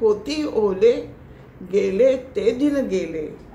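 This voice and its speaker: A woman is talking here. Her voice sits high, with ordinary pitch variation. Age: 80s+. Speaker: poet. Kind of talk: poetry reading.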